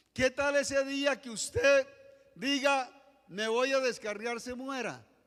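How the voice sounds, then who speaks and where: Extremely high-pitched for a man, this voice moves very slowly with fairly even intonation and big swings in loudness. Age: 60s. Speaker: pastor. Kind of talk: sermon.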